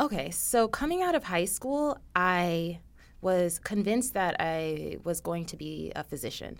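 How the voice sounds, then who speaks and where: A woman with a General American accent at a fairly slow pace, on a very clean recording with a silent background. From South Florida (Coconut Creek, near Fort Lauderdale). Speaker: clinical pharmacist. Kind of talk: interview. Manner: hesitant, frequent um fillers.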